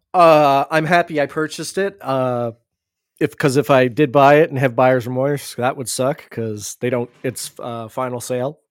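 A man with a normal speaking voice talks at a medium pitch and a moderate pace. The recording is very clean with a silent background, and the sound is dry and close with no echo. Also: ordinary pitch variation. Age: 40s. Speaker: podcast co-host. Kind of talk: casual chat.

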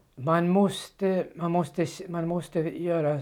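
A high-pitched man talks with a Danish accent. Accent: Danish accent in Swedish. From Denmark. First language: Danish (speaking Swedish). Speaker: former Bible translator. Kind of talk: interview testimony. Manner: halting.

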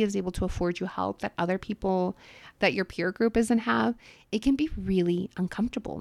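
Using a normal speaking voice, a woman with an American accent talks at a fairly quick pace in a medium pitch, in a very clean recording with a silent background. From US-Mexico border, California (Calexico), then Los Angeles. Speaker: podcast host and wealth manager. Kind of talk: personal monologue.

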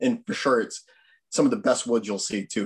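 An American accent marks this man's speech. His pitch swings very wide. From Easton, Massachusetts. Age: 30s. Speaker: conservation commission member, outdoorsman. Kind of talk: casual talk on a video call.

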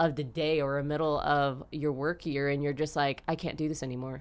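Monotone, flat delivery in an American accent. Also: woman. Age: 20s. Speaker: dancer and instructor. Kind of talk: casual chat.

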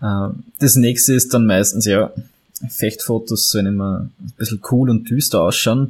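Heard here is a man with a Viennese accent at a fairly slow pace. His pitch is medium, with ordinary variation. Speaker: photographer and historical fencer. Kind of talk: interview.

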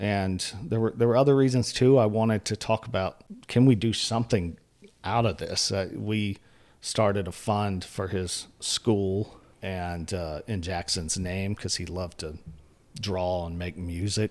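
On a very clean recording with a silent background, a man with an American accent and an ordinary speaking voice talks at a fairly slow pace in a fairly low pitch with ordinary pitch variation. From northeastern North Carolina, US. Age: 40s. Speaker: journalist and editor. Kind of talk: interview conversation.

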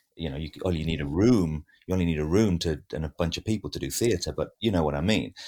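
A man's very deep, low voice with vocal fry and a dark, mellow tone, ordinary pitch variation, a very fast pace, and a very clean recording against a silent background. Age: 50s. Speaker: actor and acting teacher. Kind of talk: casual chat. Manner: halting, many fillers.

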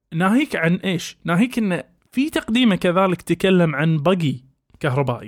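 The sound is dry and close, with no echo. A man with a high pitch speaks at a moderate pace with lively intonation. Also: very even loudness. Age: 30s. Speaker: podcast host, doctor. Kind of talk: casual chat.

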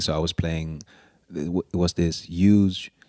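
This man's very deep, low voice moves with fairly even intonation, recorded very cleanly against a silent background with a dry, close sound and no echo. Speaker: violinist and composer. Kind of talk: interview. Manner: halting, many fillers and repetitions.

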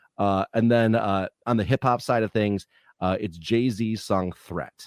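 Recorded very cleanly against a silent background, with a dry, close sound and no echo, a man speaks in a plain, everyday voice at a fairly low pitch with ordinary pitch variation. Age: 40s. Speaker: Twitch streamer. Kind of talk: casual chat.

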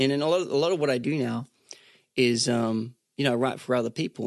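A man talks very fast in an Australian accent at a medium pitch. The sound is dry and close, with no echo. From Australia, Sunshine Coast. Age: 30s. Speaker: singer-songwriter. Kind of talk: casual chat.

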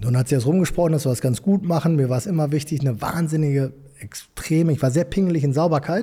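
Very fast and very even in loudness, a man with a Ruhr accent speaks at a fairly high pitch with ordinary pitch variation. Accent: Ruhr area German. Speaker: entrepreneur, construction company owner. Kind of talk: interview.

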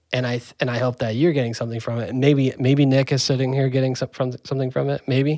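Medium in pitch, a man has an ordinary speaking voice. His intonation is fairly even. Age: 30s. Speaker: musician, podcast co-creator. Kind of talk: casual chat.

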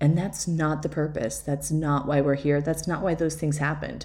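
A woman's very deep, low voice, dark and mellow in tone, with vocal fry. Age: 40s. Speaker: podcast host, life coach and photographer. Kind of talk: solo podcast monologue. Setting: at home.

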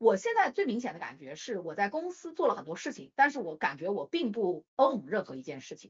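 Her pitch fairly high and swinging very widely, a woman talks at a fairly quick pace with hardly any pauses, vocal fry, and big swings in loudness. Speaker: podcast co-host. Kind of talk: casual chat.

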